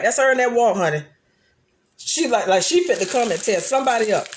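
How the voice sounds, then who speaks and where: The voice is loud and animated. Its pitch swings very widely. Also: woman. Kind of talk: casual livestream chat. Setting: live video stream.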